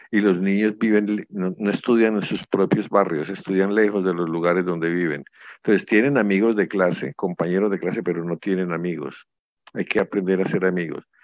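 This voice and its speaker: A man with a very deep, low pitch and fairly even intonation at a fairly quick pace, against a quiet background. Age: 70s. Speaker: conference speaker. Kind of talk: lecture.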